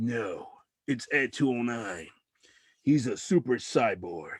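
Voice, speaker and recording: A man puts on a raspy character voice at medium pitch with lively intonation. He speaks at a fairly slow pace on a very clean recording with a silent background. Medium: solo performance.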